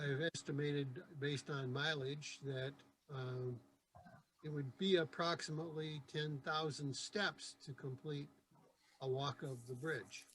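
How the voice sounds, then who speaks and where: Man with a Michigan accent, fairly even intonation and a fairly slow pace. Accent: Midwestern American (Michigan). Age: 70s. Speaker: Rotary club member. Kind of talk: club meeting presentation. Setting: video call.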